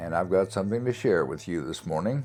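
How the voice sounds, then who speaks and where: Music plays in the background as a man speaks. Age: 70s. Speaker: spiritual teacher. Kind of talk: spiritual teaching monologue.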